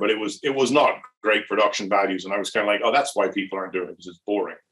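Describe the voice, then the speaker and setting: With a Louth accent, a man speaks at a fairly low pitch and a fairly even intonation. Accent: Drogheda Irish. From Ireland, Drogheda (County Louth). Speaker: brewery owner. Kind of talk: casual interview. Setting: online video chat.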